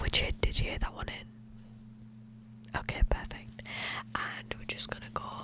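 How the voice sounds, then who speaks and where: Whispering at a fairly slow pace, a voice comes through noticeable background noise. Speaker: ASMR content creator playing a clinician. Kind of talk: ASMR roleplay, soft-spoken medical exam. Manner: soft-spoken.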